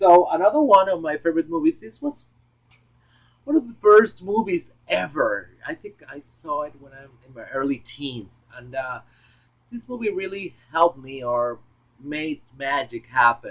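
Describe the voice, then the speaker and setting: A man with a Puerto Rican accent, high pitch, lively intonation, fairly slow pace and big swings in loudness. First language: Spanish. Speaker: film collector vlogger. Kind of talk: casual monologue video. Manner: halting, many fillers. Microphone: poor audio, misconfigured external microphone.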